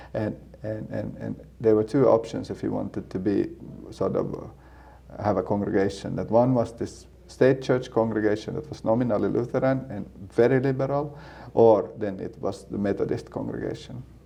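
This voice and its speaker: Using a Swedish accent, a man speaks at a moderate pace and fairly low pitch, his tone dark and mellow, with vocal fry and lively intonation. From Finland, Helsinki. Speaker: seminary student and church planter. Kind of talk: casual interview. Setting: in-person sit-down interview. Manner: halting, many repeated words.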